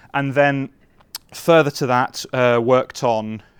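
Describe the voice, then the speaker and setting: A man speaks in a northern English accent at a medium pitch. The recording is very clean, with a silent background. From northern England. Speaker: software engineer. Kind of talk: conference talk. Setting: stage with audience.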